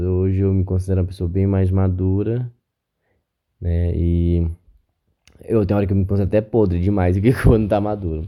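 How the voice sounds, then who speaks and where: This man's voice is very deep and low, with a dark, mellow tone, and he speaks at a moderate pace. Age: 30s. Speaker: podcast host. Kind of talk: solo podcast monologue. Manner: casual, conversational.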